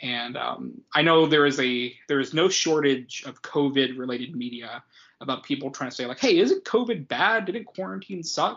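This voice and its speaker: A man speaks in a plain, everyday voice at a fairly high pitch. His intonation is lively, with hardly any pauses. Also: moderate pace. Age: 20s. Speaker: podcast co-host. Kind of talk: casual chat.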